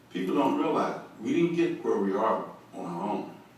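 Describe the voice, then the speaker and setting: Noticeable background noise and audible room echo surround a man speaking with an American accent. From Bakersfield, California. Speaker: former pro football player. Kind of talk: interview.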